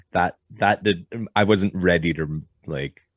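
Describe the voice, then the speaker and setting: A man with a French Canadian accent at a fairly slow pace, on a very clean recording with a silent background. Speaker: blacksmith and knife maker. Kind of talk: podcast interview. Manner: halting.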